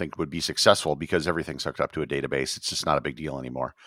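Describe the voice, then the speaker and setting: A man with an American accent and vocal fry at a very fast pace, dry and close with no echo on a very clean recording with a silent background. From US Midwest, Wisconsin. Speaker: travel blogger and tour operator. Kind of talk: casual interview chat.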